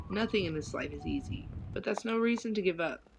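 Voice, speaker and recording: Music runs in the background as a woman with an American accent talks at a very fast pace. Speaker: streamer. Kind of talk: reading aloud.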